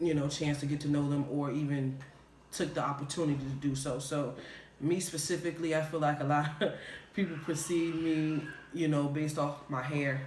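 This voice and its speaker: A man with a slight Southern US accent speaks in a relaxed tone at a fairly high pitch, flat and monotone. His loudness stays very even, and the room echo is audible. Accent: slight Southern drawl. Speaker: video podcast co-host. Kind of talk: casual chat. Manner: relaxed, casual, slang-heavy.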